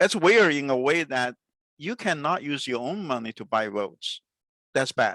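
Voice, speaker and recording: With a Chinese accent, a man speaks at a fairly high pitch in a bright, sharp tone, his pitch swinging very widely. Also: moderate pace. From China. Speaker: podcast host. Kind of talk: interview. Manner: halting, many fillers.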